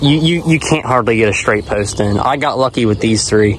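Light background noise surrounds a man whose dry sound has no echo and whose pitch varies in an ordinary way. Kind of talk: casual vlog chat. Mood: frustrated about mean ram. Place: farm machine. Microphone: phone near.

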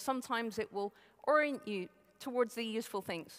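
Quiet background, a woman at a fairly quick pace with ordinary pitch variation. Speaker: conference speaker. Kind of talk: lecture. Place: hall. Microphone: headset.

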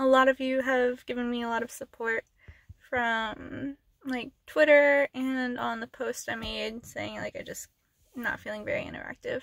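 Against a quiet background, a woman talks at a fairly slow pace in a dry sound with no echo. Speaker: ASMR channel creator. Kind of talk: casual vlog chat. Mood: emotional, earnest, slightly upset. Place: car. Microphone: phone near.

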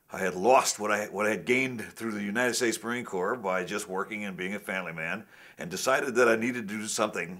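Over a quiet background, a man speaks very fast in a fairly low, bright, sharp voice with ordinary pitch variation. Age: 70s. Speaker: karate grandmaster. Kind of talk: technique demonstration; interview storytelling. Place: studio.

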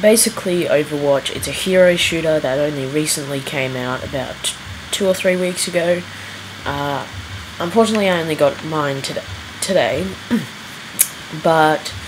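A quiet voice speaks at a moderate pace with long, frequent pauses. Noticeable background noise sits behind it. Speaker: gamer reviewing a video game. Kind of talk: casual gameplay commentary.

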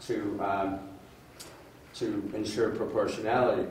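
Noticeable background noise runs under a man who speaks at a fairly slow pace. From Northern Ontario, Canada. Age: 70s. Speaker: former politician and electoral reform advocate. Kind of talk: public presentation with slides. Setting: public workshop with audience.

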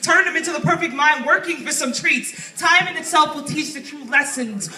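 Talking at a fairly quick pace in a raised, projected voice with fairly even intonation, the speaker is heard amid audible room echo and faint background music. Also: woman. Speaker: poet. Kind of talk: spoken word poetry performance. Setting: open mic stage with audience. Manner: fast. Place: shop. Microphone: handheld.

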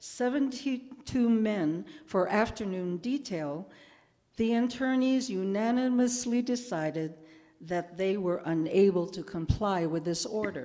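Very slowly, a woman with an American accent speaks at a medium pitch in a dark, mellow tone, her intonation lively and the background quiet. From Chicago, US Midwest. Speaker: humanities scholar and presenter; presenter. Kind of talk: public presentation with readings. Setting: museum event with audience. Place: classroom. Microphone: podium.

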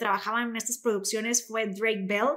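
A woman with high pitch against a quiet background. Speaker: podcast host. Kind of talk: podcast discussion intro. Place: studio. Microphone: studio mic.

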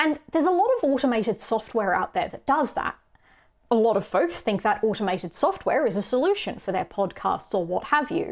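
A woman talks in an Australian accent at a high pitch and fairly quick pace. Her pitch swings very widely against a quiet background. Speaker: conference speaker on accessibility; conference speaker. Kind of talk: recorded conference talk. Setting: pre-recorded video for an online conference. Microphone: webcam.

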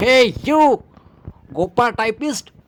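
A growling, put-on character voice. The sound is dry and close, with no echo. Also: man, extremely high pitch for a man. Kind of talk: mix of English and Marathi. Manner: growling, gruff.

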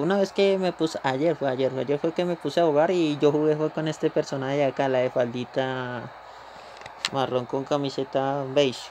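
Noticeable background noise sits behind a man talking at a fairly quick pace, his pitch fairly high with ordinary variation. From Colombia. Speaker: gaming streamer. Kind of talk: live gameplay commentary. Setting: live stream.

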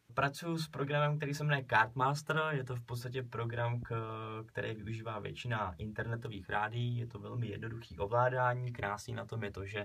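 Bright and sharp in tone, a man speaks at a fairly quick pace with ordinary pitch variation. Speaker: student radio presenter. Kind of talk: radio presenter on-air talk. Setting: radio studio. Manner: casual, friendly. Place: studio.

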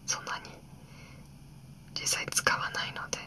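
The speaker whispers, soft-spoken and at a moderate pace, with light background noise. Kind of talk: quiet calm vlog narration. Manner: soft ear-to-ear ASMR whisper. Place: home room.

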